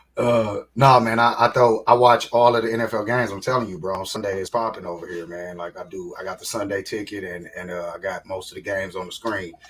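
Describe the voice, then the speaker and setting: A man talks at a very fast pace with fairly even intonation, and noticeable background noise can be heard. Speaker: podcast co-host. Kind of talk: casual chat. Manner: low and calm.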